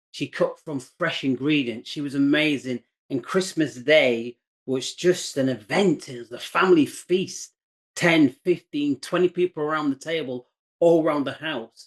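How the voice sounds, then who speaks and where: With an English accent, a man speaks at a moderate pace over a quiet background. His fairly high voice shows ordinary pitch variation and big swings in loudness. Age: 60s. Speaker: entrepreneur, former chef. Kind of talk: interview. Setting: video call.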